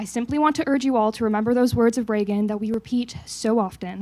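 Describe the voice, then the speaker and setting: At a moderate pace, a woman with a dark, mellow tone and a fairly high pitch speaks with ordinary pitch variation. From Canada (Toronto). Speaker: think tank staff member. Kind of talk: staff meeting remarks.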